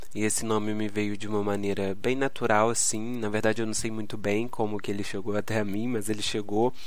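A man's fairly low, monotone, flat voice at a fairly quick pace, with noticeable background noise and audible room echo. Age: 20s. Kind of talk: solo devotional podcast talk. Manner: halting.

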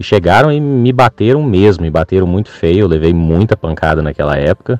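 A dry, close sound with no echo, carrying a man's very deep, low voice at a moderate pace and with ordinary pitch variation. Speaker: farm sector worker. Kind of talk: recorded voice message story. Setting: recorded audio message.

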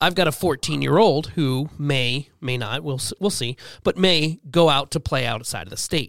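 With a playful tone and lively intonation, a man speaks fairly slowly at fairly high pitch with vocal fry, in a dry, close sound with no echo on a very clean recording with a silent background. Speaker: podcast host. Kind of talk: casual banter podcast. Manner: joking, playful.

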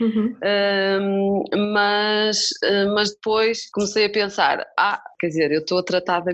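This woman's voice sits at a medium pitch, with monotone, flat intonation. She speaks at a fairly slow pace. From northern Portugal, Famalicão. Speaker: musician. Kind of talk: interview conversation.

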